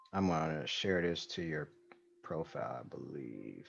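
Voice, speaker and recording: With vocal fry, a man speaks at a very deep, low pitch with ordinary pitch variation. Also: big swings in loudness. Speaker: livestream interview host. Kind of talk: casual chat. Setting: video call. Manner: soft-spoken. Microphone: too quiet for the guest.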